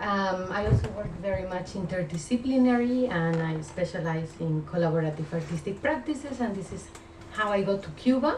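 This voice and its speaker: A woman with a Spanish accent speaks at a fairly quick pace, medium in pitch, with lively intonation. Noticeable background noise and audible room echo fill the recording. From Spain. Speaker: art curator. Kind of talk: lecture. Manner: halting, many filler sounds.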